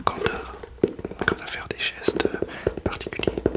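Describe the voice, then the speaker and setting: A man whispers over noticeable background noise. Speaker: beginner ASMR YouTuber. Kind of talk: casual talk to camera. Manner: hesitant, nervous, soft-spoken.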